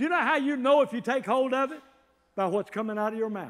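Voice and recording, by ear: A man's extremely high-pitched voice at a fast pace, with ordinary pitch variation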